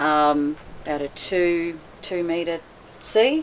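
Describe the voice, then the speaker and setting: A woman with a very deep, low voice speaks in a monotone, flat way against noticeable background noise. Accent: Australian. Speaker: boat owner, liveaboard cruiser. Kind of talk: casual interview chat. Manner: loud voice.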